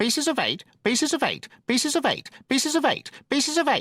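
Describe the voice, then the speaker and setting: A shrill, high-pitched put-on character voice rattles along at a fairly quick pace. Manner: monotonous, repeating without pause.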